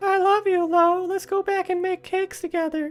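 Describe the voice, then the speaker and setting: This put-on character voice sits at an extremely high pitch with monotone, flat intonation. It moves at a moderate pace. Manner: affectionate, sweet.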